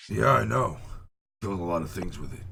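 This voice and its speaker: A raspy, put-on character voice races along at a very fast pace. Its pitch swings very widely. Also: man, very deep, low pitch for a man. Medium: actual play. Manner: cocky, joking.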